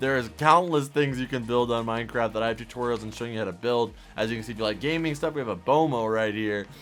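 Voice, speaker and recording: Over background music, a man with a medium-pitched voice talks very fast with hardly any pauses and ordinary pitch variation. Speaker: minecraft youtuber. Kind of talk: tutorial. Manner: animated.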